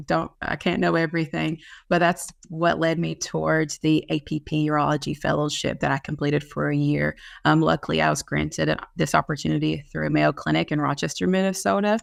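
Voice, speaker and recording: Speaking at a fairly quick pace with a Kentucky accent, the voice comes through on a very clean recording with a silent background. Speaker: nurse practitioner in urology. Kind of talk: panel presentation. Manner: hesitant with frequent fillers.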